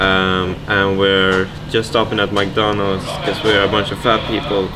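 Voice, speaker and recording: Noticeable background noise sits behind a man speaking at a fairly low pitch. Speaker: vlogger. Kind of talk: casual vlog chat. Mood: relaxed, joking. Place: cafe. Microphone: phone near.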